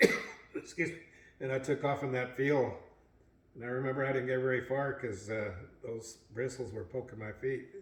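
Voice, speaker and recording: At medium pitch and a moderate pace, a man speaks in a somewhat breathy voice with fairly even intonation and long, frequent pauses. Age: 80s+. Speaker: family elder sharing memories. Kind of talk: family reminiscing interview.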